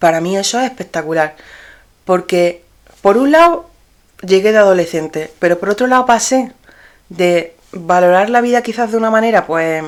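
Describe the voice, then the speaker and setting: A woman speaks at a medium pitch with ordinary pitch variation. She leaves long, frequent pauses. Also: moderate pace. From Spain, Granada and Murcia. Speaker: podcast host and dress designer. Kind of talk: personal storytelling podcast. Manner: casual, with fillers and repetitions.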